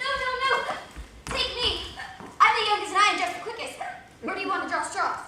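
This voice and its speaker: A woman in a put-on character voice speaks at an extremely high pitch and a fairly quick pace, with long, frequent pauses, a slight echo and clear background noise. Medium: stage play. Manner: excitable, flighty, repetitive.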